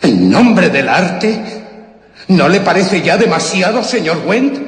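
A man puts on a character voice, high-pitched and slow, with big pitch swings. Strong echo fills the room.

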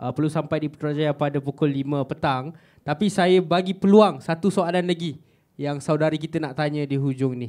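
A man's fairly high voice at a fairly quick pace with ordinary pitch variation, over a quiet background. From Malaysia. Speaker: student moderator. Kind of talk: event moderation. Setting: stage with audience. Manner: halting. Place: hall. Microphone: handheld.

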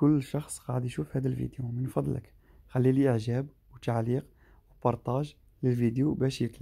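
A man with an eastern Algerian accent speaks at a moderate pace in a medium-pitched, somewhat breathy voice with a dark, mellow tone. His intonation stays fairly even, and the background is quiet. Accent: Algerian Arabic, eastern Algeria. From Algeria, Skikda. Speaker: travel vlogger; driver vlogger. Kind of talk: vlog narration. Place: car. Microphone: phone near.

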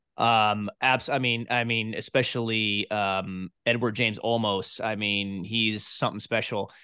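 A man speaks at a fairly slow pace with hardly any pauses, his pitch fairly low. The sound is dry with no echo, and the background is quiet. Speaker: podcast host. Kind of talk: interview. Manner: animated. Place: home room. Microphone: studio mic.

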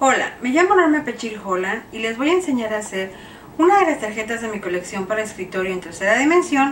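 Noticeable background noise fills the recording. A woman talks at a fairly quick pace. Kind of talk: tutorial. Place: home room. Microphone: camera far.

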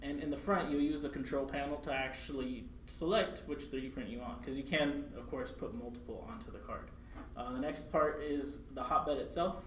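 A man speaks at a moderate pace, with audible room echo and light background noise. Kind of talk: tutorial. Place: meeting room.

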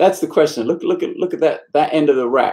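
With ordinary pitch variation, a man with a British accent speaks against a quiet background. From UK. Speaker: bass teacher. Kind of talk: live stream Q&A. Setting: practice room. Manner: casual, frequent fillers. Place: home room. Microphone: webcam.

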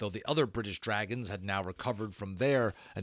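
Reading aloud in a natural voice, the pitch rising and falling in an ordinary way

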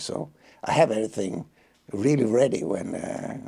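At a moderate pace, the voice carries a dark, mellow tone, a slightly husky edge, vocal fry and lively intonation. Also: man, fairly low pitch for a man.

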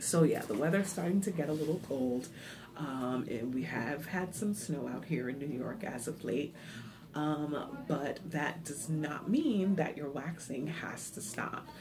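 A woman's very deep, low voice with ordinary pitch variation over noticeable background noise. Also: fairly slow pace. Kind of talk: casual vlog tutorial. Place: home room. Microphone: phone near.

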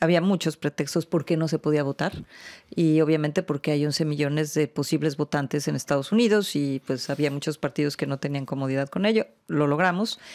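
A woman's very deep, low voice at a fairly quick pace, over a quiet background. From Mexico. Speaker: international organization official. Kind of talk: interview. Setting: studio. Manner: halting, many fillers. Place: studio. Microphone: studio mic.

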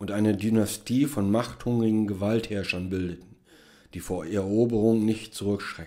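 Speaking in a solemn, dramatic tone, a man keeps a fairly low pitch with ordinary variation. His pace is moderate. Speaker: author reading own story. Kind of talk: dramatic narration, reading aloud own short story. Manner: solemn, measured, grandly dramatic, then dry and ironic at the end; formal.

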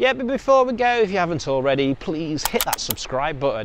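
Words come at a very fast pace, dry with no echo. Noticeable background noise runs underneath. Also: man. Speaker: travel vlogger. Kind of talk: casual vlog chat. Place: street. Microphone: lapel.

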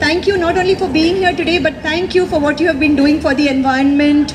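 A woman with a high pitch and ordinary pitch variation at a moderate pace, with noticeable background noise. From India. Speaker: institute representative, emcee. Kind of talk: event speech. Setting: outdoor park event with audience. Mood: warm, grateful. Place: open country. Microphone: camera far.

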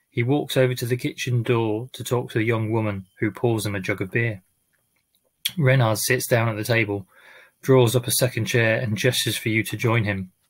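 Against a quiet background, a man speaks in a somewhat breathy voice with fairly even intonation. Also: moderate pace. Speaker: amateur reader. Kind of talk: book reading. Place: home room. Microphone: webcam.

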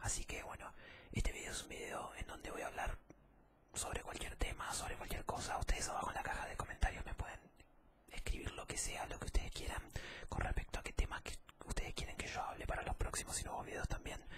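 Whispering at a very fast pace, a man gets the words out. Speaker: ASMR creator. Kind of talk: casual ASMR talk to viewers. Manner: soft-spoken ASMR voice, close to mic. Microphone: studio mic.

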